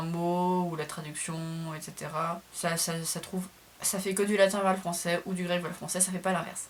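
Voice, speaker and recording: Her pitch is fairly low. This woman's intonation stays monotone and flat. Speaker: classics student and video creator. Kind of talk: casual tutorial vlog. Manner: fast; somewhat halting, hesitant.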